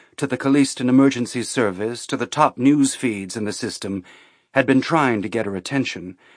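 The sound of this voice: The pitch varies by an ordinary amount. The voice is an unforced reading voice.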